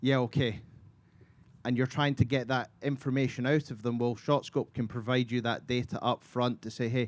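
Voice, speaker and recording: Speaking at a moderate pace in a monotone, flat intonation, a man talks with a slight Scottish accent. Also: medium pitch for a man. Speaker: golf technology company representative. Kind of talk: panel talk.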